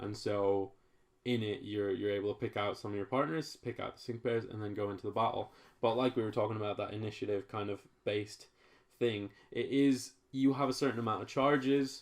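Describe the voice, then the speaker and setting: A plain, everyday voice at a fairly quick pace, with fairly even intonation over a quiet background. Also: man, fairly low pitch for a man. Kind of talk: casual podcast conversation.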